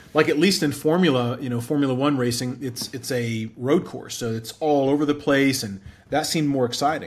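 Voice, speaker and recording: A man speaks fairly quickly, pitched fairly high, with ordinary pitch variation and a normal speaking voice. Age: 40s. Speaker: entrepreneur. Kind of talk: interview.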